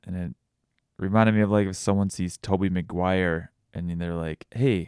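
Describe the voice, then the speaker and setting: A man with a very deep, low pitch talks at a moderate pace with fairly even intonation. The sound is dry and close with no echo, on a very clean recording with a silent background. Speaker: vlogger. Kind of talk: solo podcast monologue. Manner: halting, with pauses and stutters.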